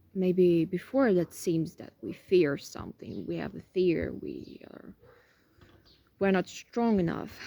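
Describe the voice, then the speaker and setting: A woman at a very slow pace, with big swings in loudness. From Ukraine, Kharkiv. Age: 20s. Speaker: interviewee. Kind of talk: personal testimony. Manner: halting, many fillers.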